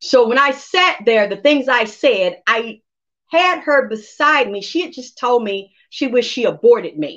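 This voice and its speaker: Against a quiet background, a woman speaks fairly slowly at a high pitch in an animated tone, with lively intonation and big swings in loudness. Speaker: psychic medium. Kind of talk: casual chat. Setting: livestream.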